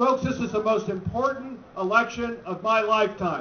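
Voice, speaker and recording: There is noticeable background noise behind a man with an American accent and a high pitch. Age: 60s. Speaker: political candidate. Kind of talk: campaign speech. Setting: rally with audience. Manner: animated.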